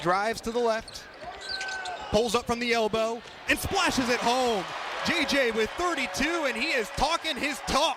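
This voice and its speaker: Over noticeable background noise, a man with an extremely high pitch and ordinary pitch variation projects a raised voice at a moderate pace, leaving long, frequent pauses. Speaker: sports radio play-by-play announcer. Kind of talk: basketball play-by-play radio call. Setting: college radio broadcast.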